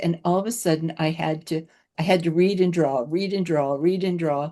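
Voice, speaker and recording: A woman speaks with a dark, mellow tone at a fairly low pitch. The background is quiet. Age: 80s+. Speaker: podcast host. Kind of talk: podcast interview.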